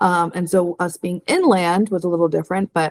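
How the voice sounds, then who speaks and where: With an American accent and a normal speaking voice, a woman talks at a moderate pace in a fairly low pitch with fairly even intonation and a dry, close sound with no echo. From New Jersey. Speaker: real estate video co-host. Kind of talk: casual chat.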